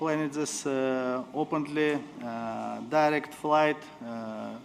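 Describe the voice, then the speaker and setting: In a room with audible echo, a man speaks very slowly at a fairly high pitch with fairly even intonation. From Uzbekistan. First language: Uzbek or Russian. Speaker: diplomat. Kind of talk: conference speech. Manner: halting, many fillers.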